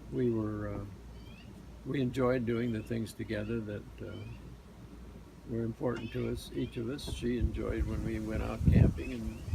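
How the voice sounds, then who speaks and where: A man pauses often and for long stretches at a moderate speed, with noticeable background noise around him. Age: 80s+. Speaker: retired husband and caregiver. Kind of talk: interview answer.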